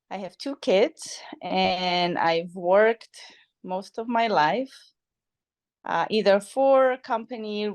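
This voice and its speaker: A woman at medium pitch and a very slow pace, with ordinary pitch variation, big swings in loudness, long, frequent pauses and a quiet background. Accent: Polish. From Poland. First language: Polish. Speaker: podcast guest, friend of host. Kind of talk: casual chat. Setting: evening podcast conversation.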